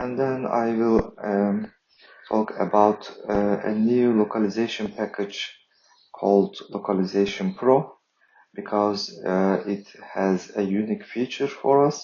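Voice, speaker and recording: Fairly slow, fairly even speech from a man with a fairly low pitch and a non-native accent. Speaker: software developer. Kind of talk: tutorial. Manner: halting, many fillers.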